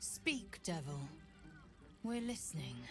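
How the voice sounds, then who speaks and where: Clear music plays in the background as a woman speaks in a put-on character voice. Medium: video game. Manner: curt, hard.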